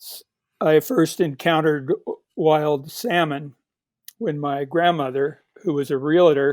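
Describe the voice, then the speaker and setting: With a Pacific Northwest accent, a man speaks at a fairly high pitch with ordinary pitch variation. His loudness swings widely in a very clean recording with a silent background. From Portland, Oregon, US Pacific Northwest. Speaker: author. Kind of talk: interview.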